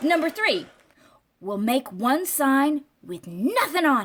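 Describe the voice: Putting on a character voice, a woman speaks slowly in a high, fairly bright pitch, her voice making big pitch swings.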